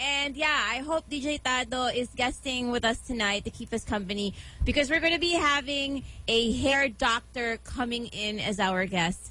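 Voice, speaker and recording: In a raised, projected voice, a woman speaks at a moderate pace with lively intonation, with noticeable background noise. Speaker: radio DJ. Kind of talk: casual radio talk. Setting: radio studio. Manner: animated.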